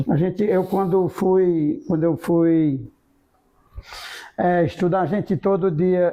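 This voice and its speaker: A man speaks at a high pitch. He talks very slowly, with fairly even intonation. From Ceará, Brazil (Jaguaribara, rural). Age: 70s. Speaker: business leader and former mayor. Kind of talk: interview, life story.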